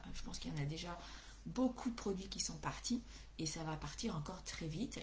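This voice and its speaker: A woman talks at a moderate pace, and audible room echo can be heard. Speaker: craft demonstrator. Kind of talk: live craft tutorial. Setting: livestream. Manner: hesitant, many fillers.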